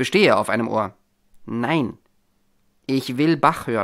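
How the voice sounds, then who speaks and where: At a moderate pace, the voice sits in a very clean recording with a silent background. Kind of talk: audiobook narration, reading a short story aloud with dialogue.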